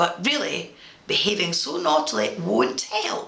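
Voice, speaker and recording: A woman performs a put-on character voice, with audible echo around it. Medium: read story. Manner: fussy, gentle.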